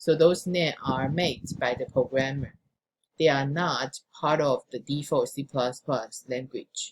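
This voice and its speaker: A woman with a very deep, low pitch speaks at a fairly slow pace, her intonation fairly even. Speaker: programming instructor. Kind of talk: recorded lecture.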